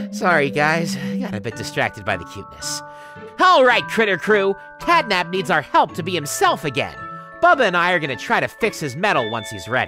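A cartoonish character voice at a middle pitch moves at a fairly quick pace over clear music in the background. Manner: upbeat, encouraging.

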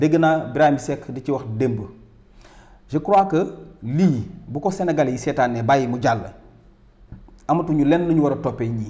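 Fairly slow and marked by long, frequent pauses, a man's speech has a dark, mellow tone. His pitch is fairly high, with ordinary variation. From Senegal. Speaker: political commentator. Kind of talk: angry rant on public-funds scandal. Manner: indignant, loud, emphatic, repeating words. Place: studio.

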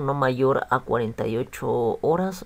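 A man's voice with lively intonation. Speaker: YouTube vlogger sharing a consumer complaint. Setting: solo video recording to camera. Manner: conversational, repeats words like 'pues' and 'bueno'.

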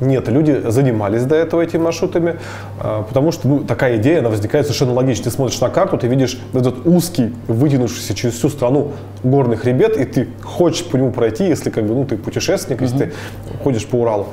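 A man talking at a very fast pace, with light background noise. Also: ordinary pitch variation. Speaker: guest. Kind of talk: interview answer. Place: studio. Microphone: lapel.

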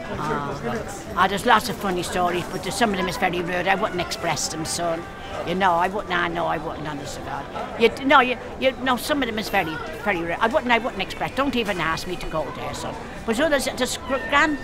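Clear music plays behind the voice. The woman speaks at a fairly quick pace. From Dublin. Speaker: market stall trader. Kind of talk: interview answer. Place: market.

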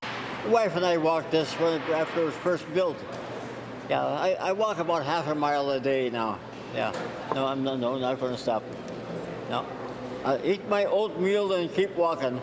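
A man's fairly high voice with ordinary pitch variation, long, frequent pauses and noticeable background noise. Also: moderate pace. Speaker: interviewee, centenarian mall walker. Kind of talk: interview answer. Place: hall.

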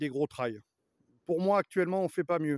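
A man speaks in a high voice with ordinary pitch variation, recorded dry with no echo against a quiet background. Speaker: motorbike vlogger. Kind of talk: casual vlog chat. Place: forest. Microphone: phone near.

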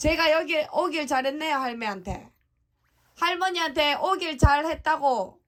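Here a woman speaks at a fairly slow pace. Her voice is high, with ordinary pitch variation. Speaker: vlogger. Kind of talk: casual conversation. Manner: loud, repeating for a hard-of-hearing listener.

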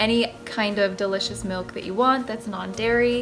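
Faint music sits in the background. A woman speaks fairly slowly over it. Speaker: recipe vlogger. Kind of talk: casual vlog chat. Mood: cheerful, enthusiastic. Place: kitchen. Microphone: phone near.

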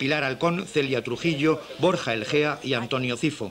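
There is noticeable background noise as a man speaks with a fairly high pitch and ordinary pitch variation. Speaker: TV news reporter. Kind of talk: local TV news narration.

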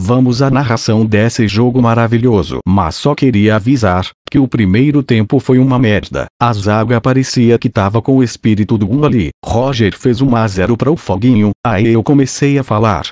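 A man's plain, everyday voice at medium pitch and moderate pace, with ordinary pitch variation, very even loudness and hardly any pauses, in a dry, close sound with no echo against a quiet background. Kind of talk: sports commentary, a fan's recap of a match, profane and partisan.

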